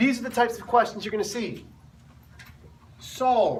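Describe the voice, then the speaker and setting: A man's voice carries audible room echo. Noticeable background noise surrounds it. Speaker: math teacher. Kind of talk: classroom lecture. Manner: animated.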